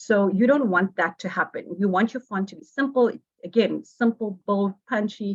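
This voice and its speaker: A woman's somewhat breathy voice shows ordinary pitch variation, recorded with a dry, close sound and no echo. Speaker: workshop presenter on design. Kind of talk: online workshop lecture. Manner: fast.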